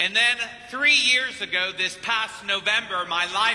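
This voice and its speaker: A man's voice, pitched high, comes through with clear noise in the background. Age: 50s. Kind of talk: sermon. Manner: animated.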